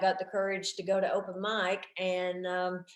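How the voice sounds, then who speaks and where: A woman speaks with a Southern US accent at a medium pitch. Her pace is moderate. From US South, Tennessee. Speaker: stand-up comedian. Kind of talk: casual interview chat.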